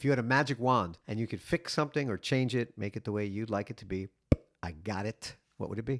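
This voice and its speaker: Talking very fast with an American accent, a man uses a medium pitch and ordinary pitch variation in a very clean recording with a silent background and a dry, close sound that has no echo. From New York. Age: 50s. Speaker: podcast host. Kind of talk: casual interview. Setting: guest's dining room.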